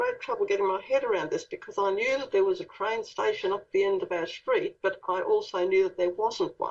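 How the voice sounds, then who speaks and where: In an Australian accent, a woman speaks at a moderate pace with very wide pitch swings. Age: 60s. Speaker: author and contactee. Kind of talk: interview.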